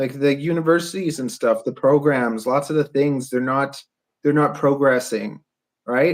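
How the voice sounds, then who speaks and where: A man's ordinary speaking voice with a Canadian accent, fairly high in pitch, at a moderate pace with fairly even intonation. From Canada. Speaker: podcast host and drone builder. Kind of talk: casual podcast conversation.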